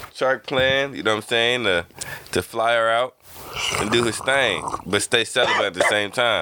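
A man talks at a moderate pace, his pitch varying in an ordinary way, while noticeable background noise carries on behind him. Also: medium pitch for a man. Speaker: podcast host. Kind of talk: casual chat.

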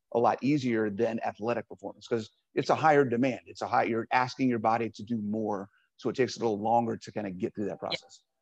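In a dry, close sound with no echo, a man with a medium pitch talks at a very fast pace with fairly even intonation. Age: 40s. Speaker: podcast host and fitness coach. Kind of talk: casual interview. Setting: gym.

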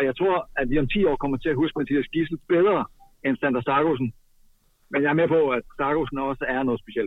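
A man with an unremarkable speaking voice and a fairly high pitch talks at a moderate pace. His pitch varies in an ordinary way. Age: 30s. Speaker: handball expert commentator. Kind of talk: casual chat.

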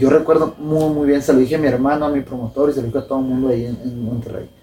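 A man with a fairly high pitch talks at a very fast pace. Noticeable background noise is present. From Sinaloa, Mexico. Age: 20s. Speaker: professional boxer. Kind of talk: casual interview.

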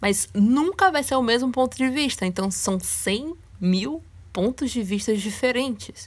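Somewhat breathy and fairly high-pitched, a woman speaks at a fairly slow pace with lively intonation. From Brazil, Salvador and interior of Rio de Janeiro. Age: 20s. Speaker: podcast host. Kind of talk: solo podcast monologue.

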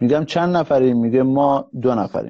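A man speaks with a non-native accent. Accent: foreign-sounding Persian. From Iran, Kurdish (Mahabad). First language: Kurdish (speaking Persian). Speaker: serial entrepreneur. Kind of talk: live stream interview. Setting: live stream call.

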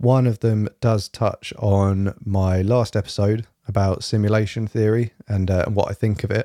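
A man speaks with a fairly low pitch and a dark, mellow tone in a monotone, flat intonation. The recording is very clean with a silent background and a dry, close sound with no echo. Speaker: podcast host. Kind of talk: casual monologue. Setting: home recording at night.

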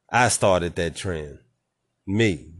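A man speaks with a very deep, low pitch. His pace is fairly slow. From Nashville, Tennessee, US South. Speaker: podcast host. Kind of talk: casual chat.

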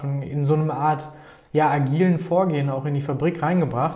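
A dark, mellow, somewhat breathy voice at a fairly quick pace, with audible room echo. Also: man. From Germany, Paderborn. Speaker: startup founder. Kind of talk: interview.

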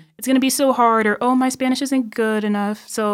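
In a very clean recording with a silent background, a woman with a Midwestern American accent speaks at a fairly quick pace and fairly high pitch, her intonation monotone and flat. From Illinois, US Midwest. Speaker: university student. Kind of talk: casual chat.

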